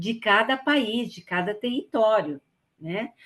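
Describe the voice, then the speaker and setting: Her pitch fairly high and her intonation lively, a woman speaks at a fairly slow pace. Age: 60s. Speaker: volunteer trainer. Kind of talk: training lecture. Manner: hesitant, with fillers.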